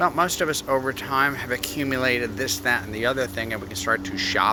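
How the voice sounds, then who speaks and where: A man's voice over noticeable background noise. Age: 70s. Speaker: speaker giving advice on aging. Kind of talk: speech.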